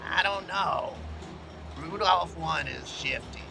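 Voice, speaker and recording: A man performs a put-on character voice. Loud music plays in the background. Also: fairly slow pace. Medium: audio drama.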